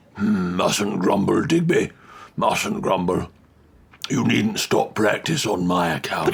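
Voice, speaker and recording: A man's put-on character voice, raspy and fairly low, at a fairly slow pace with very even loudness. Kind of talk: comic overacting. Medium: audio drama. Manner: plummy, fussy, prone to rambling.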